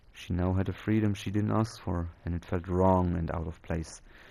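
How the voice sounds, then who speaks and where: Over a quiet background, a man with a non-native accent and a dark, mellow tone speaks at a moderate pace, his very deep, low pitch carrying fairly even intonation. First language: not English. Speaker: storyteller. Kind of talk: reading aloud. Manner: halting.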